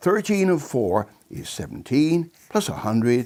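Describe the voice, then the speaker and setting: With a West Country accent, a man speaks at a very slow pace with very wide pitch swings. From England, Bristol. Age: 80s+. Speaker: maths enthusiast explaining a method. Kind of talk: casual explanation.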